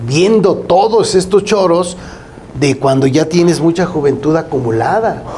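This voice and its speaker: A man speaks at a fairly slow pace with a high pitch and ordinary pitch variation. His loudness stays very even against noticeable background noise. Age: 60s. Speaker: accountant, co-host. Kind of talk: casual legal talk show discussion.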